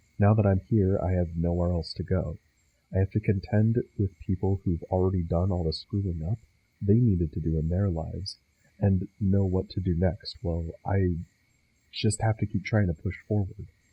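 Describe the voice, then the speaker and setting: A man speaks in a dark, mellow, somewhat breathy tone at a very deep, low pitch. His pace is moderate, his intonation fairly even, and the sound is dry and close with no echo. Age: young. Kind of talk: personal video essay.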